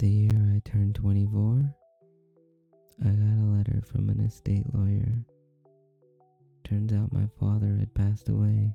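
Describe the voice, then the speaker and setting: A soft-spoken man at a fairly low pitch and moderate pace, monotone and flat, with very even loudness and long, frequent pauses, in a dry, close sound with no echo over background music. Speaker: vtuber, ASMR streamer. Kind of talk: horror story narration.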